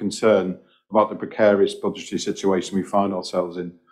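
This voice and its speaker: In a quiet background, a man with a fairly low pitch speaks very fast in a monotone, flat intonation. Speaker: senior police officer reporting to board. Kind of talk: formal meeting statement. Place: meeting room. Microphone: podium.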